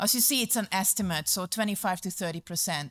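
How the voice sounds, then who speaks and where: A woman with a Hungarian accent talks at a fairly quick pace and a medium pitch. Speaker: community services manager. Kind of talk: conference presentation. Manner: hesitant, many fillers.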